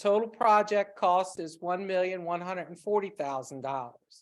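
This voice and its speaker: The very clean recording, with a silent background, carries a woman's voice at medium pitch. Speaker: town staff member presenting grant application. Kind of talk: public meeting presentation. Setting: town council meeting room. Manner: loud, projecting voice.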